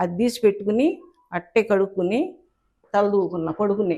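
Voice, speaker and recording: Her voice is a normal speaking voice, a woman's at medium pitch with ordinary pitch variation. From Andhra Pradesh, Guntur district. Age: 60s. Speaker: writer and cartoonist. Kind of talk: interview, life story.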